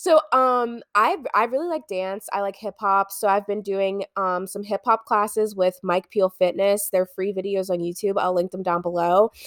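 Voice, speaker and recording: A woman talks in a normal speaking voice at a medium pitch, with hardly any pauses. Her pitch varies in an ordinary way, and the sound is dry and close with no echo. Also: moderate pace. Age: 20s. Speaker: podcast co-host. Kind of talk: casual chat. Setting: on a couch at home.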